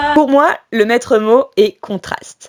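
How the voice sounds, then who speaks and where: A woman with an ordinary speaking voice has fairly high pitch and lively intonation. The sound is dry and close with no echo. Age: 20s. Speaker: cycle traveller. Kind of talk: scripted narration.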